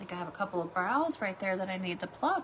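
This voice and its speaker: Lively intonation from a woman, with noticeable background noise behind her. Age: 40s. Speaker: beauty livestreamer. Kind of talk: makeup tutorial livestream. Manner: casual, chatty.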